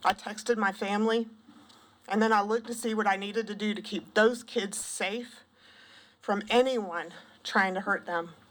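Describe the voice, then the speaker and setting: A woman's voice is shaky and medium in pitch, with fairly even intonation. She pauses often and at length. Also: moderate pace. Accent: Southern US. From South Carolina, Pendleton. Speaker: former school counselor and parent testifying. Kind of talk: public testimony. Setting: legislative committee hearing.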